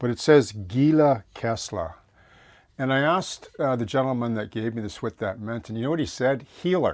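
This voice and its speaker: At a moderate pace, a man with a medium pitch speaks with ordinary pitch variation in a very clean recording with a silent background. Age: 60s. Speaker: model railroad hobbyist, former prison chaplain. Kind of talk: casual tutorial vlog. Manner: halting, many fillers and restarts.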